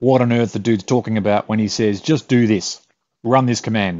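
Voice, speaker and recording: A man with an Australian accent, medium pitch, ordinary pitch variation and a fairly quick pace. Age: middle-aged. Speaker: tech tutorial youtuber. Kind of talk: tutorial. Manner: casual, with fillers and hesitations.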